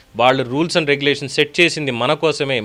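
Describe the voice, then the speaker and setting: A man's voice with a bright, sharp tone and fairly even intonation. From Telugu states, India. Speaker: political news commentator. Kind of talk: news commentary monologue.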